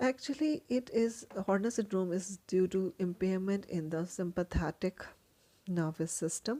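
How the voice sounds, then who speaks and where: In a dark, mellow tone at medium pitch, a woman speaks at a fairly slow pace with lively intonation, the sound dry and close with no echo. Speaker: medical educator. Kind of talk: lecture.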